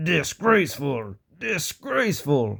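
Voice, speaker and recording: A man puts on a character voice with a fairly high pitch. He speaks at a fairly slow pace, and hissing can be heard. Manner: hissing, angry.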